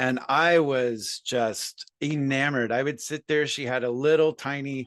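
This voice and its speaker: In an unremarkable speaking voice, a man with an American accent talks fairly slowly at a fairly high pitch with fairly even intonation, the sound dry and close with no echo over a quiet background. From US Midwest, Columbus Ohio. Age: 50s. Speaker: musician and sober coach. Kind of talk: casual interview chat.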